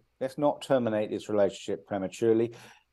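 Against a quiet background, a man with a British accent has a dark, mellow tone, medium pitch and ordinary pitch variation. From UK. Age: 50s. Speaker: author. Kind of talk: interview.

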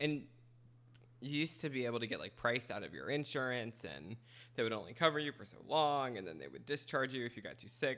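Very fast and full of lively intonation, a man's medium-pitched voice has a bright, sharp tone, vocal fry and big swings in loudness. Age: 20s. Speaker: podcast co-host. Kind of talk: casual chat. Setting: kitchen table.

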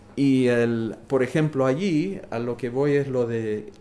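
A man speaks in a normal speaking voice at a medium pitch. His intonation is lively. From New York City. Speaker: witness of 1980s New York nightlife. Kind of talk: casual interview.

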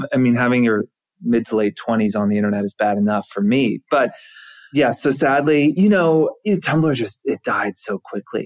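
In a normal speaking voice, a man uses a medium pitch and lively intonation, with a dry, close sound and no echo. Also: moderate pace. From US South, Georgia. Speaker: tech company co-founder. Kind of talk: interview.

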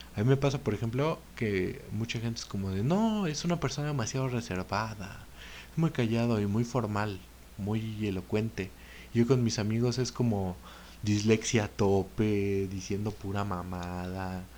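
With a Mexican accent, a man speaks at a fairly slow pace in a fairly low pitch, his dark, mellow tone showing ordinary pitch variation. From Mexico. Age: 20s. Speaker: podcaster. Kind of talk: casual monologue.

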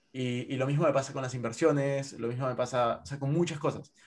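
The man's pitch sits in the medium range, and his fairly even intonation moves along at a fairly quick pace. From Peru. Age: 20s. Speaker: investor and content creator. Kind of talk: casual interview.

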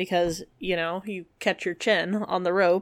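A woman speaks in a normal speaking voice at medium pitch. Her pitch variation is ordinary. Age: 30s. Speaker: podcast co-host. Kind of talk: casual chat with researched storytelling. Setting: remote recording.

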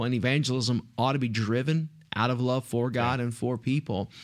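A man talks with an East Texas accent. His intonation is fairly even. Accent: East Texas Southern US. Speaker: pastor. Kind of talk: casual chat.

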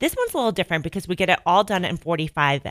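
In a slight Chicago accent, a woman speaks at medium pitch in a bright, sharp, animated tone. The sound is dry and close with no echo, on a very clean recording with a silent background. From northern Illinois, near Chicago. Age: 30s. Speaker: fitness studio owner. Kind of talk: casual radio interview. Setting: radio studio. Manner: animated, chatty.

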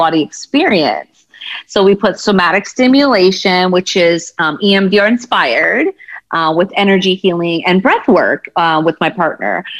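A woman speaks at a moderate pace in an American accent, her pitch medium with ordinary variation. It is an unremarkable speaking voice. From United States, Punjabi American family. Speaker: therapist and empowerment coach. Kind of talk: casual interview chat.

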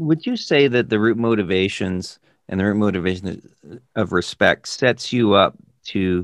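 A man speaks at a fairly slow pace in an unremarkable speaking voice, fairly low in pitch with ordinary pitch variation, and the sound is dry and close with no echo. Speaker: business consultant podcast host. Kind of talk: casual interview-style conversation.

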